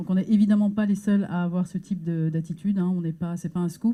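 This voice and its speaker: A woman speaks with a fairly low pitch and a dark, mellow, somewhat breathy tone. Her intonation stays flat and monotone. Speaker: NGO staff member presenting research. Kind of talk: conference talk. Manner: hesitant, many filler words.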